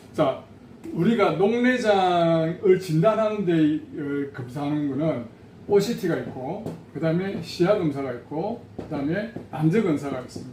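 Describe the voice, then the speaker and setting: A man's high voice with lively intonation, a fairly slow pace, big swings in loudness and audible room echo. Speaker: patient association president. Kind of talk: educational talk.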